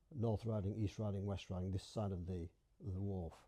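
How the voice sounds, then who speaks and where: A somewhat breathy man's voice, fairly low in pitch, with a dark, mellow tone. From Bradford, Yorkshire, England. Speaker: dialect society member. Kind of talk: interview answer.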